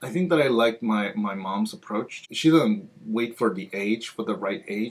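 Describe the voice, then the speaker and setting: Lively intonation from a man, medium in pitch, at a moderate tempo. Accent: Spanish. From Peru. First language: Spanish. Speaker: library outreach coordinator. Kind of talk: interview answer.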